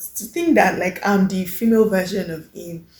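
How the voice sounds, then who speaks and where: A woman speaks at a medium pitch with fairly even intonation. Her voice is somewhat breathy. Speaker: lifestyle vlogger. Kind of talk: casual vlog monologue. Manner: confident.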